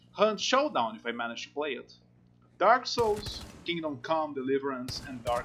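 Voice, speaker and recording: The speaker goes at a fairly slow pace, with very wide pitch swings and big swings in loudness. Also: man. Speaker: gaming youtuber. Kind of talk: game review narration. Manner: halting speech.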